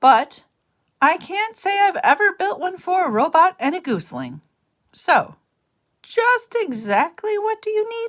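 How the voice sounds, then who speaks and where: This is a put-on character voice, gruff and extremely high in pitch. It moves at a moderate pace. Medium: read story. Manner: grumbling, gruff.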